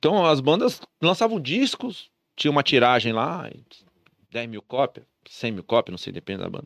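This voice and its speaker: A fairly high-pitched man talks at a moderate pace with vocal fry, very wide pitch swings and big swings in loudness. The sound is dry and close, with no echo. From interior of São Paulo state, Brazil. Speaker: entrepreneur. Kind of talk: casual chat.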